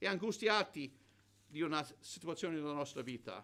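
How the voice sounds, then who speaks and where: A man speaks at a moderate pace. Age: 70s. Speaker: preacher. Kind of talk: sermon. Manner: halting with repetitions.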